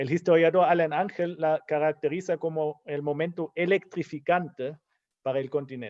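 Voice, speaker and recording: A man's high-pitched voice with a German accent, in a dry, close sound with no echo against a quiet background. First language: German (speaking Spanish). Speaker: historian, book commentator. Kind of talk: book launch talk.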